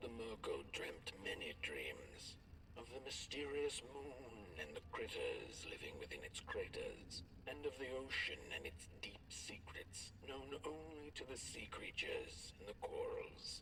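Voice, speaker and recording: A man's put-on character voice at a fairly slow pace, over loud background noise. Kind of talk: bedtime story. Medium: video game. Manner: gentle, measured.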